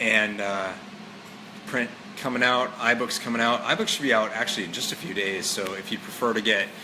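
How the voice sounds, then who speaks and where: Fairly low male voice, fairly even intonation, with audible room echo and noticeable background noise. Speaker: author and fitness motivator. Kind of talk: casual live stream monologue. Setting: live stream with viewers. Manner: casual, many fillers.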